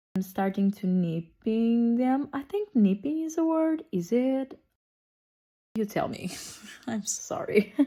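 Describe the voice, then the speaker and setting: A woman's dark, mellow voice moves very slowly, with very wide pitch swings and long, frequent pauses. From Portugal. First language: Portuguese. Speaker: nail artist. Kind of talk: tutorial. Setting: at home. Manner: casual, chatty.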